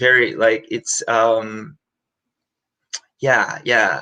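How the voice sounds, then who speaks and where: A man speaks very slowly in a Korean accent, at a medium pitch. His tone is bright and sharp, with ordinary pitch variation. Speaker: musical theatre performer. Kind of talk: interview. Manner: halting.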